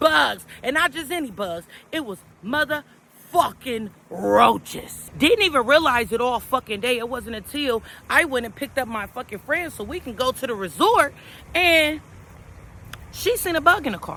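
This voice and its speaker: The speaker has an animated tone and a moderate pace. Background noise is noticeable. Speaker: motivational vlogger. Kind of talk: casual vlog monologue. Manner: loud.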